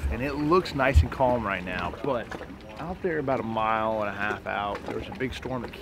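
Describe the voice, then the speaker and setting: With lively intonation and a dry sound with no echo, a man speaks at a moderate pace over light background noise. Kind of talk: casual vlog chat. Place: boat. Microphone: lapel.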